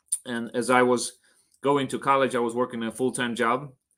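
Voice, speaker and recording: At a moderate pace, a bright, sharp tone carries a monotone, flat intonation on a very clean recording with a silent background. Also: man. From Poland, moved to US at twelve. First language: Polish. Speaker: divorce recovery coach. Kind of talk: interview.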